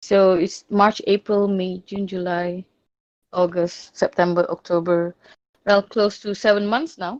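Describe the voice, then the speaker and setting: At a fairly slow pace, a woman with a non-native accent talks at a medium pitch with fairly even intonation, the sound dry and close with no echo. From Malaysia. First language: not English. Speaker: discord server owner. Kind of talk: interview. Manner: halting.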